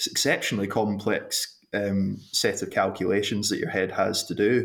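A man speaks with a Glasgow accent. He keeps a moderate pace. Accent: Scottish (Glasgow). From Scotland, Glasgow. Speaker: sports medicine doctor. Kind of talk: interview.

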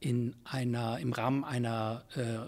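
A man talks at a medium pitch. Behind him the background is silent, on a very clean recording. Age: 60s. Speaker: Jesuit priest and philosophy professor, leadership consultant. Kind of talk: interview conversation. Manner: hesitant with many fillers.

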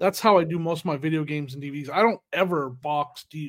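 In an American accent, the voice comes through on a very clean recording with a silent background. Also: man. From US West (California and Arizona). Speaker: podcast host and reseller. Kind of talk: casual chat. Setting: home video podcast recording. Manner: upbeat, joking.

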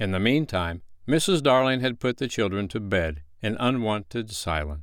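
With lively intonation, a person reads aloud in a natural voice.

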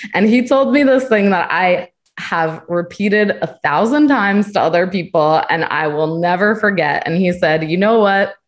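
An unremarkable speaking voice, a woman with an American accent and medium pitch talks at a moderate pace with lively intonation, very even loudness and hardly any pauses. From US Northeast. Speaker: travel community manager. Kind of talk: casual panel chat. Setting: video call.

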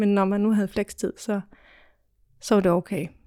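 A woman's dark, mellow voice at medium pitch and a fairly slow pace, dry and close with no echo, on a very clean recording with a silent background. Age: 30s. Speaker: office trainee. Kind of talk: interview. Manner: hesitant, many fillers.

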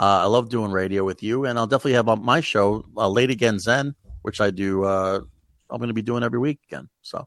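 Against a quiet background, a man with a plain, everyday voice and an American accent talks fairly quickly at a medium pitch with ordinary pitch variation, the sound dry and close with no echo. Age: 40s. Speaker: comedian. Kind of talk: casual chat.

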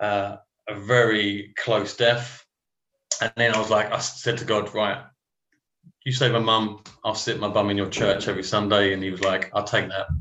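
A man speaks at a moderate pace in a fairly low pitch, his intonation flat and monotone. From Romford, Essex (east London fringe). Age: 40s. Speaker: trainee vicar, former architect. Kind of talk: casual interview testimony.

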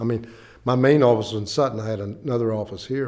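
A man with an Appalachian accent talks very fast at a medium pitch, his pitch varying in an ordinary way. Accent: Appalachian American. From West Virginia, Clay County. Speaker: family court judge. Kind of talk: interview.

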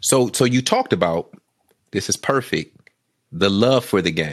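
A man speaks at a fairly low pitch with lively intonation. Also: fairly slow pace.

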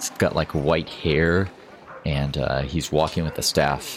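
Over noticeable background noise, a man with a very deep, low pitch speaks at a fairly slow pace with fairly even intonation. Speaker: game master. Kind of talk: tabletop role-playing game session, narration and character voices.

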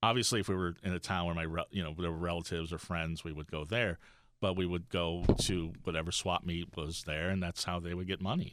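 A man with a slight New York accent, a very deep, low pitch, fairly even intonation and a fairly quick pace, on a very clean recording with a silent background. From Florida (Miami), born in Brooklyn. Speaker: goth comedian and podcaster. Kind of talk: casual chat. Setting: studio.

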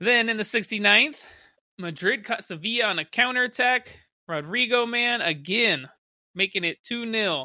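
At a moderate pace, a man with a high pitch speaks in an animated, enthusiastic tone and lively intonation. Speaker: podcast host, football fan. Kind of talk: sports commentary, play-by-play recap of goals. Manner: vivid, gushing over skill and goals.

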